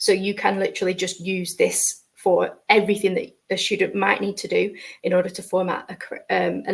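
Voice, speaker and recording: A woman with a northern accent. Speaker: educator presenting a session. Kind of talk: tutorial. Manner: hesitant, many fillers.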